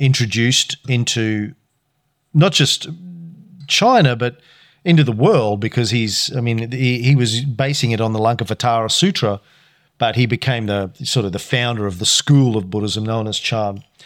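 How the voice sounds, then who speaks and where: Here a man has an ordinary speaking voice at a medium pitch. He speaks at a fairly slow pace with ordinary pitch variation. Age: 50s. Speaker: podcast co-host, kung fu student. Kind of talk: casual chat; history explainer. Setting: home recording with spouse, drinking tea.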